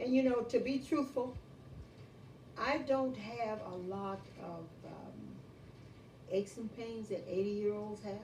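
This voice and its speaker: Fairly slow speech with long, frequent pauses, big swings in loudness, ordinary pitch variation, and audible room echo. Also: woman, fairly high pitch for a woman. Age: 80s+. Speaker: elderly interviewee. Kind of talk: casual interview. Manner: energetic.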